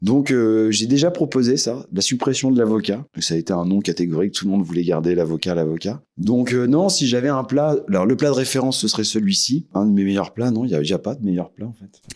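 A man speaks at a fairly quick clip with hardly any pauses, his fairly low voice carrying lively intonation. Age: 40s. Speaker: café owner. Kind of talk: interview. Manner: hesitant.

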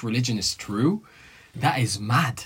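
A man with an Arabic accent speaks at a fairly slow pace in a somewhat breathy voice. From Egypt. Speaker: student guest. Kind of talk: casual chat.

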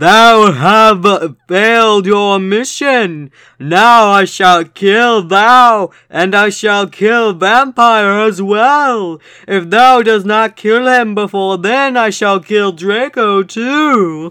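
A man puts on a character voice, high-pitched and raised, projected. He talks at a very slow pace with hardly any pauses. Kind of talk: archaic. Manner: evil, menacing.

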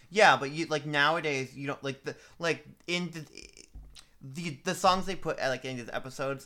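A man with an American accent talks in a bright, sharp tone. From Boston. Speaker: podcast co-host. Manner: casual, chatty.

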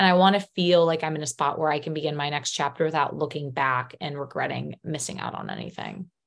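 Vocal fry runs through speech that moves at a very fast pace with hardly any pauses. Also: woman, very deep, low pitch for a woman. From Chicago. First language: Polish. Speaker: teacher. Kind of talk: casual interview chat.

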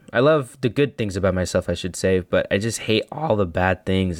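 On a very clean recording with a silent background, a man with an American accent speaks at a very deep, low pitch. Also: dry, close sound with no echo. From El Paso, Texas. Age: 20s. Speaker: podcast host. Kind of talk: solo reflective monologue. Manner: monotone, reflective.

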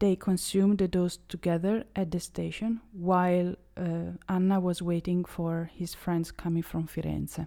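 A woman with an Italian accent speaks in a flat monotone at a moderate pace. Her fairly low voice has a dark, mellow tone. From Italy. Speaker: true crime podcaster. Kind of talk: true crime storytelling monologue. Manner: occasionally halting.

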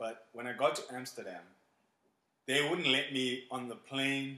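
A man speaks with audible room echo. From South Africa, Port Elizabeth. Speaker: teacher and school administrator. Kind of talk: casual interview.

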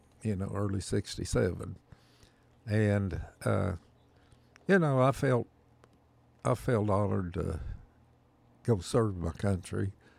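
On a very clean recording with a silent background, a man with a rural Oklahoma accent speaks at a fairly slow pace with ordinary pitch variation and long, frequent pauses. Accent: Oklahoma rural Southern plains drawl. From Oklahoma, US. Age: 70s. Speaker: Vietnam-era army veteran, retired. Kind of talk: elder life story, folksy reminiscing interview. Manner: slow, rambling, halting with fillers.

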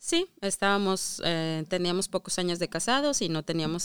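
A woman with an ordinary speaking voice and fairly low pitch speaks at a moderate pace with lively intonation, on a very clean recording with a silent background. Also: dry, close sound with no echo. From Mexico. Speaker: immigrant mother. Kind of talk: casual interview.

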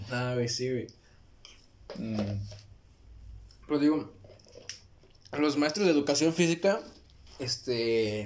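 Speaking in a Mexican accent, a man talks at a very slow pace with long, frequent pauses. His pitch is medium and his intonation lively. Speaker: podcast co-host. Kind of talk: casual chat. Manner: animated.

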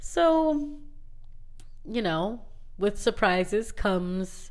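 There is audible room echo around a woman's voice. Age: 20s. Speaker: podcast host and middle school teacher. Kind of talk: casual monologue. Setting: alone in a closet.

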